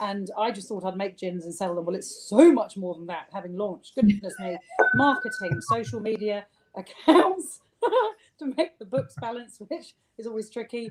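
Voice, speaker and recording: Music plays in the background as the speech moves at a moderate pace with lively intonation and big swings in loudness. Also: woman, medium pitch for a woman. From southern England (rural Sussex). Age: 50s. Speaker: gin distiller. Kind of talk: interview.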